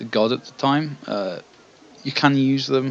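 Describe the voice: Simply plain reading aloud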